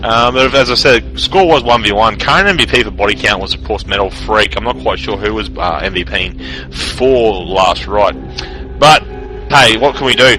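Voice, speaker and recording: Moderately paced talk over background music. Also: man. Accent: Australian. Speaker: esports shoutcaster. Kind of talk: live commentary. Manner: loud.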